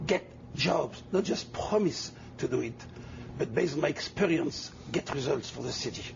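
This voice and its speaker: A man with a French accent speaks in a fairly high pitch, his intonation lively. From Tunisia and France. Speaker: mayoral candidate. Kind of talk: TV interview.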